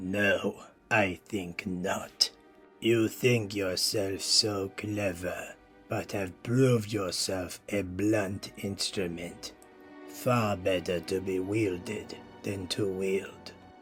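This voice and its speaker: Over clear background music, a man puts on a character voice, fairly low in pitch with fairly even intonation, at a very slow pace. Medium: audio drama. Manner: cold, condescending.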